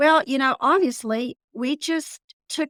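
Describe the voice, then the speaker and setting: In a dry, close sound with no echo, a woman with a high pitch speaks at a moderate pace with lively intonation. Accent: Texas. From Texas panhandle. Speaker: business owner. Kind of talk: podcast interview. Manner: casual, conversational.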